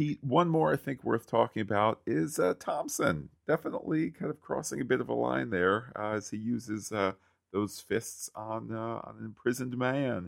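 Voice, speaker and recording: At a moderate pace with hardly any pauses, a man talks in an unremarkable speaking voice, medium in pitch, with lively intonation. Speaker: podcast host. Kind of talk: casual podcast discussion.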